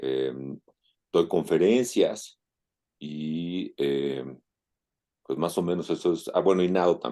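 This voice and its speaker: Long, frequent pauses break up this man's speech. He talks at a very slow pace. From Mexico City (Coyoacán). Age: 60s. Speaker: open-water swimmer. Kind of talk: interview. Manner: halting, many fillers.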